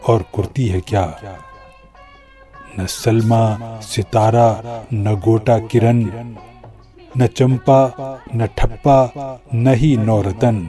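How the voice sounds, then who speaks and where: Music plays in the background. The intonation is fairly even. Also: man, medium pitch for a man. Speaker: radio and TV presenter, poet. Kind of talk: poetry reading.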